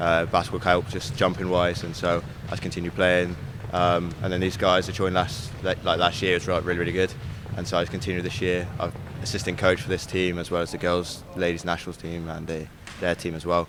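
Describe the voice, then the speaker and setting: A man's very deep, low voice at a very fast pace, with monotone, flat intonation and noticeable background noise. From Cornwall, England. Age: 20s. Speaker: basketball coach. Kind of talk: interview.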